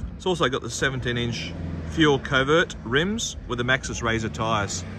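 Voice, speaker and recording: With an Australian accent, the speaker's pitch swings very widely over noticeable background noise. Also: man, dry sound with no echo. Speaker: car dealer salesperson. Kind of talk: car dealership sales pitch, walkaround video. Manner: upbeat, salesy, repeating 'outstanding' and pushing for a visit. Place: street. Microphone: phone near.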